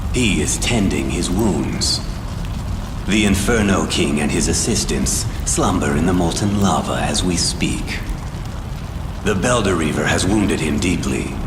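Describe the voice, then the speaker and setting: A man uses a cartoonish character voice with a very deep, low pitch at a moderate pace. There is a clear echo and loud background noise. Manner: haughty, archaic.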